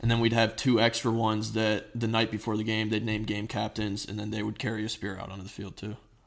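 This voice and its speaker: The speaker has an American accent and vocal fry, with monotone, flat intonation. Delivery is very fast, with hardly any pauses and big swings in loudness. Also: man, fairly low pitch for a man. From US Northeast (New Jersey), earlier Ohio. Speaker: former high school football player. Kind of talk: interview.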